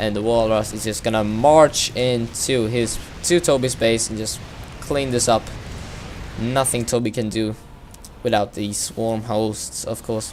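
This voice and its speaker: Over noticeable background noise, a man with a non-native accent speaks in fairly even intonation, leaving long, frequent pauses. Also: medium pitch for a man, fairly slow pace. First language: not English. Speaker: video game caster. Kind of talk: live game commentary. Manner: halting, many fillers.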